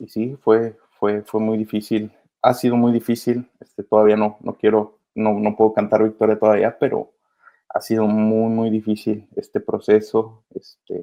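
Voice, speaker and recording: Monotone, flat intonation at a fairly slow pace. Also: man, fairly low pitch for a man. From Mexico, Michoacán. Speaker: migrant children's advocate. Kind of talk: interview.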